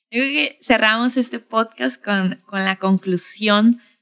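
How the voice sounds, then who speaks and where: A woman speaks with a northern Mexican accent. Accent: northern Mexican, Tijuana. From Tijuana, Mexico. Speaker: podcast host. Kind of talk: casual chat.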